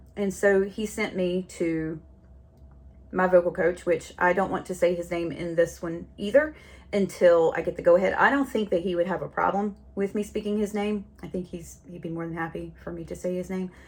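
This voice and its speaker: A woman with a Southern US accent talks at a moderate pace and a fairly low pitch. Her loudness swings widely. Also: ordinary pitch variation. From North Carolina. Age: 40s. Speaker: podcast host. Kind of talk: casual monologue. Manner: chatty, rambling.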